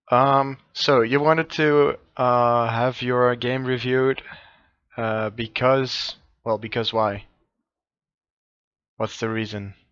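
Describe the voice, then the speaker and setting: A man's medium-pitched voice at a very slow pace, fairly even in intonation, with long, frequent pauses and a quiet background. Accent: non-native. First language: not English. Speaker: game coach. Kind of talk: coaching session. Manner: halting.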